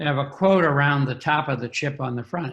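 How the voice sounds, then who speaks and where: A somewhat breathy man's voice, fairly high in pitch. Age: 70s. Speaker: recovery and addiction professional. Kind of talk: interview.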